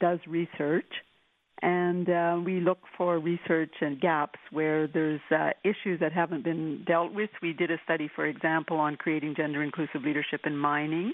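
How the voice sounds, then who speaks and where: Her voice is an unremarkable speaking voice, a woman's at fairly low pitch, with fairly even intonation and a moderate pace. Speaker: women's equality advocate. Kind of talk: interview.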